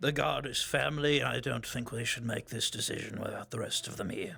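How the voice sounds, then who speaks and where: In a raspy, put-on character voice at a medium pitch, a man speaks at a fairly quick pace. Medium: actual play. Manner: calm, earnest.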